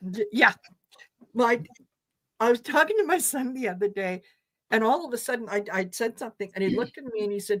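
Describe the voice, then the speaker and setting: A woman with an eastern Canadian accent, fairly high in pitch, at a moderate pace. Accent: noticeable accent in eastern Canada. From Croatia. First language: Croatian. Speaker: tarot reader, co-host. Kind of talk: casual chat. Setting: live stream.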